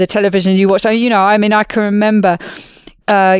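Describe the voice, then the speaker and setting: The speaker has a British accent, recorded with a dry, close sound and no echo. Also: woman. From Britain. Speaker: podcast host. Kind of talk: casual podcast conversation.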